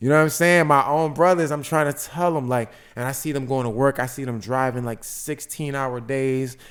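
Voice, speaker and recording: A man speaks in a fairly high voice with hardly any pauses. The recording is very clean, with a silent background. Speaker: podcast host, credit consultant. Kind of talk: casual chat. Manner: fast; animated.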